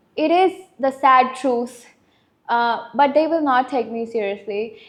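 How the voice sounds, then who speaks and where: In a slight Indian accent, a woman talks at a fairly slow pace with a high-pitched voice. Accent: light Indian accent, Americanized. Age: 20s. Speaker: podcast guest. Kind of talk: casual chat.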